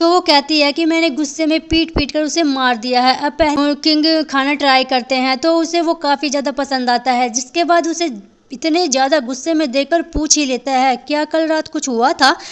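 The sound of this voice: Her high-pitched voice moves with fairly even intonation and few pauses as the woman speaks. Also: moderate pace.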